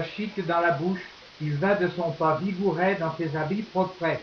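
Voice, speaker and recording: Monotone, flat speech at a fairly slow pace amid noticeable background noise. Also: man. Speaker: slam poet. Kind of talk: poetry reading.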